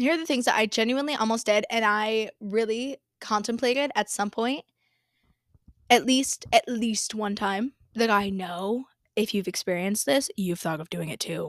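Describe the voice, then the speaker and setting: Her tone animated and her pitch fairly high, a woman speaks at a moderate pace with ordinary pitch variation on a very clean, silent-background recording that sounds dry and close with no echo. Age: 20s. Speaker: business coach podcaster. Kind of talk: casual monologue.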